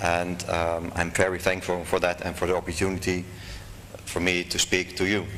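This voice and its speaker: Amid noticeable background noise and audible room echo, a man with a very deep, low pitch speaks at a moderate pace in a monotone, flat way. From Netherlands. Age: 40s. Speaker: convert speaker. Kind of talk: lecture. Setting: stage with audience. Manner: formal.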